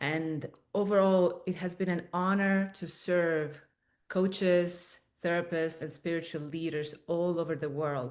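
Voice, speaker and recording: A woman's fairly low voice with an Estonian accent and fairly even intonation, against a quiet background. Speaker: spiritual coach and author. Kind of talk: webinar presentation. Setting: in-person room streamed as webinar.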